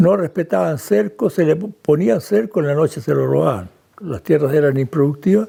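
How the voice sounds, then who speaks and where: Somewhat breathy and dark, mellow in tone, a man speaks at a moderate pace with a fairly high pitch. His pitch swings very widely. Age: 80s+. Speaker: descendant of Swiss settlers. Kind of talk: interview testimony.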